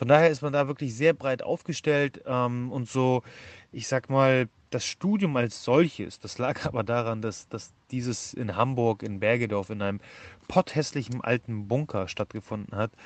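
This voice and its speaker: The man's voice sits at a medium pitch, varying in an ordinary way as he talks at a moderate pace. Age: 30s. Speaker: nutrition scientist and entrepreneur. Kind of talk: podcast interview. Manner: hesitant with many fillers.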